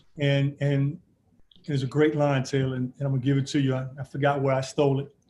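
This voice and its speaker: A man's somewhat breathy voice, dark and mellow in tone, fairly high-pitched and very fast. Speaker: basketball coach. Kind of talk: interview. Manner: animated.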